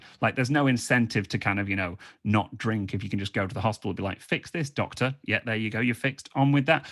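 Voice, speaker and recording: On a very clean recording with a silent background, a man with a British accent talks at a very fast pace with hardly any pauses. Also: medium pitch for a man, ordinary pitch variation. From England. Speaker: comedian and freestyle rapper. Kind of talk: stand-up. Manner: animated.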